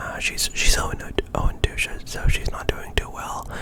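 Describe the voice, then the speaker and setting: Someone whispers at a very slow pace amid noticeable background noise. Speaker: ASMR gameplay commentator. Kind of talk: ASMR gameplay commentary. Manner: whispered.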